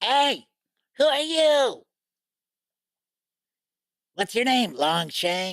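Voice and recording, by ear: A female-sounding put-on character voice with a high pitch speaks at a very slow pace with long, frequent pauses in a very clean recording with a silent background.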